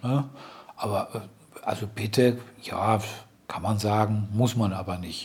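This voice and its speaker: Through noticeable background noise, a man speaks at a very slow pace with fairly even intonation and long, frequent pauses. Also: fairly low pitch for a man. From Germany, Ruhr area (Dortmund). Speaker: blind German expat, host's husband. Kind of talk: casual chat. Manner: halting, many fillers.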